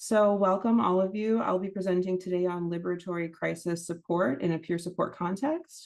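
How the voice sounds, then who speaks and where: At a fairly quick pace, a woman speaks at a medium pitch with fairly even intonation. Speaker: workshop presenter. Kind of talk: webinar training. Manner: fast.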